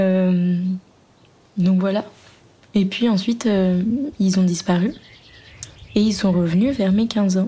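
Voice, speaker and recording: A woman speaks at a very slow pace with long, frequent pauses, fairly even intonation, very even loudness and a dark, mellow, somewhat breathy tone. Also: medium pitch for a woman. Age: 20s. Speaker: interviewee sharing personal story. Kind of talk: testimony. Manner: hesitant.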